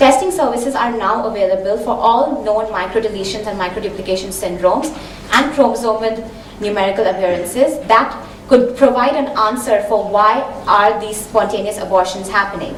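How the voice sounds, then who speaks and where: A woman with a fairly high voice talks at a fairly quick pace and with ordinary pitch variation, over noticeable background noise and audible room echo. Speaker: genetic counselor. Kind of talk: conference talk. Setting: seminar hall with audience. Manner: fast.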